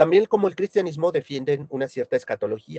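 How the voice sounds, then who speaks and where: Dark, mellow tone with lively intonation and a dry, close sound free of echo. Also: man. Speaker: philosophy lecturer. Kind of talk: lecture.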